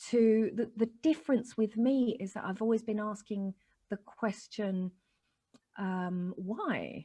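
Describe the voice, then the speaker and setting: In a dark, mellow tone, a woman speaks very slowly at a fairly high pitch, somewhat breathy, with ordinary pitch variation. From Chile. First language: Spanish. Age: 40s. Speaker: spiritual life coach. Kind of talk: interview. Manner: animated.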